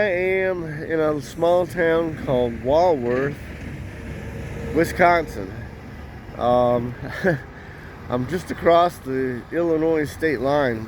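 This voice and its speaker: Speaking very slowly with long, frequent pauses, a man uses a fairly high pitch and ordinary pitch variation. Noticeable background noise is present. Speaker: truck driver. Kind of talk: casual talk to camera.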